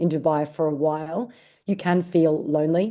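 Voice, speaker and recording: Against a quiet background, a woman speaks with a very deep, low pitch and a dark, mellow tone. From Australia. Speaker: digital marketing director. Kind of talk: podcast interview.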